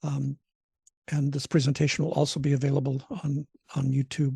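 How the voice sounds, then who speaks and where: Dark and mellow in tone, the somewhat breathy voice moves at a fairly quick pace with monotone, flat intonation, the sound dry and close with no echo. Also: man. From Alaska (Alaska Peninsula). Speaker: trainer / lecturer. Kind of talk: online training lecture. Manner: fast; halting, many fillers.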